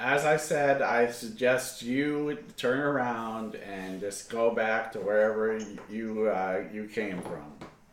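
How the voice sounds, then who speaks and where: A man's gruff, put-on character voice at medium pitch and a fairly slow pace, with slight echo and light background noise. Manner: firm, warning.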